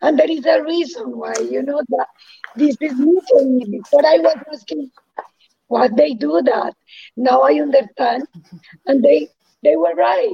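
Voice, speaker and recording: Her voice is high for a woman, with very wide pitch swings. She talks at a fairly slow pace with long, frequent pauses. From Colombia. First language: Spanish. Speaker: integrative oncologist. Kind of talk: interview.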